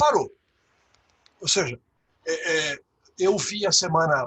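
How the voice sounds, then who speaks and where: A man with a high pitch speaks at a very slow pace, his pitch swinging very widely. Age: 60s. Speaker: leadership consultant and teacher. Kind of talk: webinar talk. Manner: halting, many fillers.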